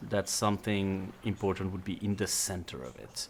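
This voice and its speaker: Speaking with a non-native accent, a man holds a moderate pace. His pitch sits fairly low. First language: not English. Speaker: tabletop game master. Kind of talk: tabletop roleplaying session.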